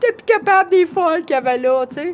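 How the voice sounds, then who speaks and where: With a Quebec accent, a woman talks at a moderate pace using lively intonation. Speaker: vlogger. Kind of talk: personal testimony.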